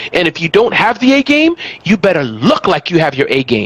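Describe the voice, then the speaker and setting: Against noticeable background noise, a man speaks in an animated tone. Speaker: small business expert and author. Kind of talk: interview conversation. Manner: fast.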